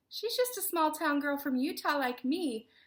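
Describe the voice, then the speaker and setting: Using a put-on character voice with a Southern US accent, a woman sounds squeaky and high-pitched, with very wide pitch swings. She talks at a moderate pace on a very clean recording with a silent background. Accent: southern American. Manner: drawling.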